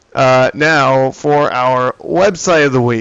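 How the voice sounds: A man speaks at a slow pace in a medium pitch, his clear, smooth tone touched with vocal fry. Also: ordinary pitch variation.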